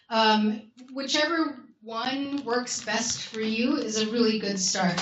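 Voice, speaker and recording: A woman speaks with fairly even intonation. Noticeable background noise and audible room echo fill the recording. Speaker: academic researcher presenting a research toolkit. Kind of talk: conference workshop presentation.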